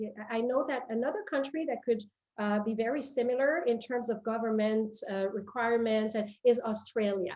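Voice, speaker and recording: A woman speaks with a French Canadian accent at a moderate pace and fairly high pitch. Her intonation is fairly even, with hardly any pauses. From Quebec, Canada. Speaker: company president. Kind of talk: interview. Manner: halting, many fillers and repetitions.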